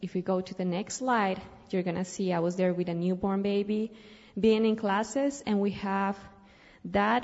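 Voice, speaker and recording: Speaking with a Colombian accent at a moderate pace, a woman keeps a medium pitch and fairly even intonation. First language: Spanish. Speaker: missionary. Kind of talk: church missionary presentation. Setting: church service.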